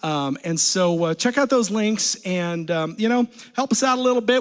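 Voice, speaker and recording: A man speaks loudly, his pitch rising and falling in an ordinary way. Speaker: a cappella group singer. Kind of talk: casual stage banter between songs. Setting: livestream from a basement. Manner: halting, many fillers.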